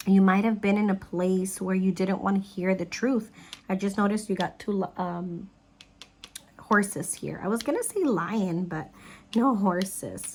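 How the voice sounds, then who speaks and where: This woman's voice is somewhat breathy, at a medium pitch. She talks at a fairly slow pace with fairly even intonation. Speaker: psychic tarot reader. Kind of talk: tarot reading.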